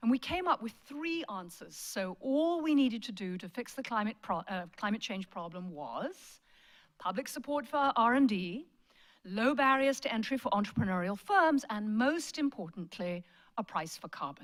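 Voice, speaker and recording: With a British accent and a fairly high pitch, a woman speaks at a moderate pace, her voice making very wide pitch swings on a very clean recording with a silent background. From Britain. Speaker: management professor. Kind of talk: lecture.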